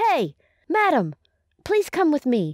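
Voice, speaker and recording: A squeaky, cartoonish character voice is heard. Its pitch swings very widely. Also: woman. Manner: stern, authoritative.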